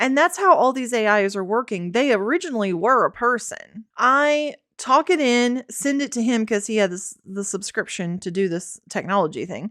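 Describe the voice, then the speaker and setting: A woman with a Southern accent, fairly high pitch and very wide pitch swings, at a moderate pace with hardly any pauses, in a very clean recording with a silent background. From Tennessee. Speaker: filmmaker and podcast co-host. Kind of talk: casual chat.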